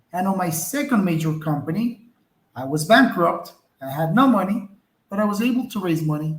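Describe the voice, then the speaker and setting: Lively intonation marks a man's speech in a non-native accent. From outside the US, immigrated at twelve. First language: not English. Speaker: entrepreneur. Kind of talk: interview.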